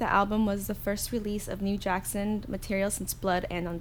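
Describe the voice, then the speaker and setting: A woman talks at a moderate pace in an unremarkable speaking voice of medium pitch. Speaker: podcast co-host. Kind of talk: casual chat.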